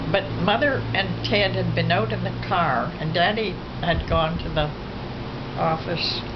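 The speech moves at a fairly slow pace with loud background noise around it. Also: woman. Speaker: elderly family member. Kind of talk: interview answer. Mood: reflective, somber recollection. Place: home room.

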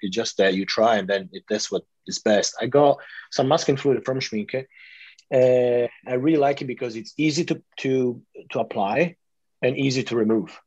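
A man with an ordinary speaking voice talks at a medium pitch and moderate pace, with ordinary pitch variation. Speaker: artist and interviewer. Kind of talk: interview. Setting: video call.

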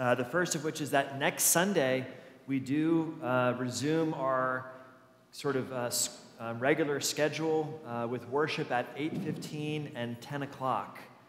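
Amid noticeable background noise, a man talks at a fairly slow pace with fairly even intonation. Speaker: pastor. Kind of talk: church announcements. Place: church.

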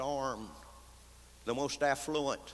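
A man with a bright, sharp tone speaks at a fairly slow pace over light background noise. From Texas. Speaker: radio commentator. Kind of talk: conference speech. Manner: humorous storytelling. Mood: wry, folksy, indignant. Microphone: podium.

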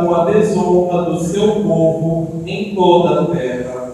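Strong room echo surrounds a man speaking with ordinary pitch variation. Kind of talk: scripture reading. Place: church. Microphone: camera far.

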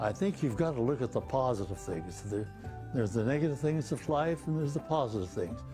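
A man's voice with lively intonation at a moderate pace, over clear background music. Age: 80s+. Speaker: retired heart surgeon. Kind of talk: interview; interview answer. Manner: halting. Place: home room. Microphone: lapel.

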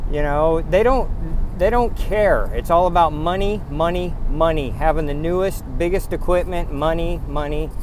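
Noticeable background noise behind a man's fairly even intonation. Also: dry sound with no echo. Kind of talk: casual vlog rant. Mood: angry, bitter. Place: car. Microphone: phone near.

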